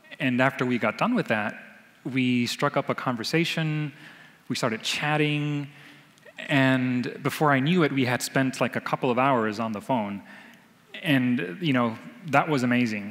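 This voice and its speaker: His pitch varies in an ordinary way at a moderate pace. Long, frequent pauses break up what the man says. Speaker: storyteller. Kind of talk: live storytelling. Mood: warm, reflective, light laughter. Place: hall. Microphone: headset.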